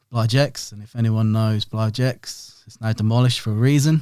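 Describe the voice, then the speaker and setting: With a Norfolk accent, a man speaks at a moderate pace and a medium pitch. His tone is dark and mellow, and his intonation is fairly even. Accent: Norfolk twang. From Norwich, Norfolk, England. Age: 30s. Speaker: print and design business owner. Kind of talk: podcast interview.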